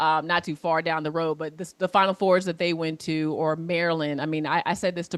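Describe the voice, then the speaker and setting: In a very clean recording with a silent background, a woman with a normal speaking voice talks at a moderate pace, her pitch fairly low and her intonation fairly even. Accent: American. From US Mid-Atlantic, Alexandria, Virginia. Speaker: former college basketball player, sports professional. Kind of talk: class Q&A over video.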